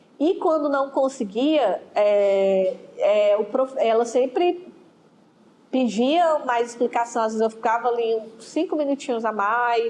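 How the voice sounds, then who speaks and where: Her voice high for a woman, a woman talks at a very slow pace with lively intonation. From Ceará, Brazil. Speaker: school history teacher. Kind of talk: interview.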